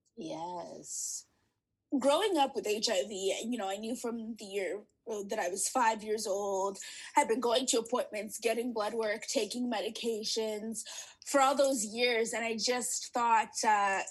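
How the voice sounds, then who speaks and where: Here is a woman with a fairly high pitch and an ordinary speaking voice. Her pitch variation is ordinary. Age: 20s. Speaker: HIV advocate and podcaster. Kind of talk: interview.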